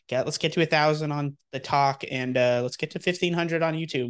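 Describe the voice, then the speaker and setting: Very fast pace and fairly even intonation over a quiet background. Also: man. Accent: American. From Texas. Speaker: gaming podcast co-host. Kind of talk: casual chat.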